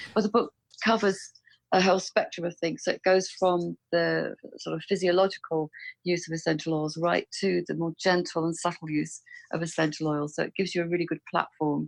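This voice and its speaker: A woman with an English accent speaks at a fairly quick pace and fairly low pitch, her intonation fairly even. The sound is dry and close with no echo, and the background is quiet. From England. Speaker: author and aromatherapy specialist. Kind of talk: interview.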